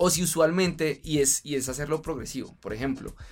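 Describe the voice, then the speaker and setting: Music plays in the background as a man with a fairly high pitch speaks at a moderate pace with fairly even intonation. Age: 30s. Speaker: fitness influencer and triathlete. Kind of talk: casual interview chat.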